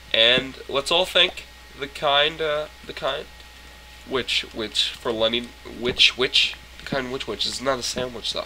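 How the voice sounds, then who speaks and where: Pitch varies in an ordinary way at a fairly slow pace, with noticeable background noise. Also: man. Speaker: gaming YouTuber. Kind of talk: casual gameplay commentary. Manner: animated, rambling.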